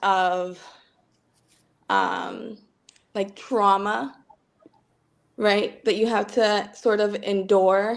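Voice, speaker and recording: A woman's medium-pitched voice in a Spanish accent, monotone and flat, at a very slow pace. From Dominican Republic. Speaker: participant. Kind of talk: casual discussion.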